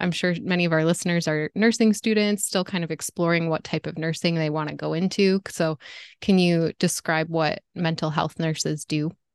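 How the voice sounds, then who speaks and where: Against a quiet background with a dry, close sound and no echo, a woman with a fairly low pitch speaks at a moderate pace with fairly even intonation in a normal speaking voice. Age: 30s. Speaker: podcast host. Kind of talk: interview.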